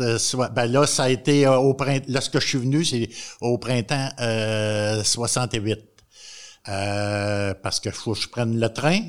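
Against a silent background in a very clean recording, the voice moves at a very slow pace with ordinary pitch variation. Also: man, medium pitch for a man. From Quebec, Montréal. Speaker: retired agriculture teacher.

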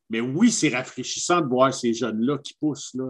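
Against a quiet background, a man speaks with a Quebec accent. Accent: Québécois French. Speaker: podcast co-host. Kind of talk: casual chat. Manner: animated.

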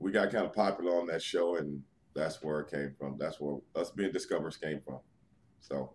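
Heard at a moderate pace, a man's very deep, low voice carries vocal fry and ordinary pitch variation. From New York City. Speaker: retired pro wrestler. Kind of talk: interview.

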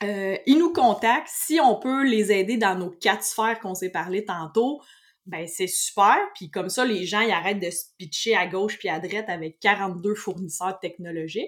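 Someone with a Quebec accent speaks at a fairly slow pace with lively intonation and big swings in loudness. The recording is very clean, with a silent background. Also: woman, medium pitch for a woman. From Quebec, Saint-Hyacinthe. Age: 30s. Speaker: IT technician and business owner. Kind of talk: casual interview.

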